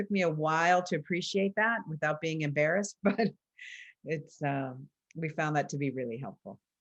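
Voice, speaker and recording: A woman talks at a moderate pace in a fairly low pitch, using ordinary pitch variation. It is a normal speaking voice, heard against a quiet background. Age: 60s. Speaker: coach trainer. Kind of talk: conversational panel discussion.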